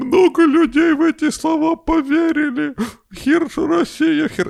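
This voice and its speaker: A woman's put-on character voice, high-pitched, with ordinary pitch variation and a fairly slow pace. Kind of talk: propagandist rant. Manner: mocking.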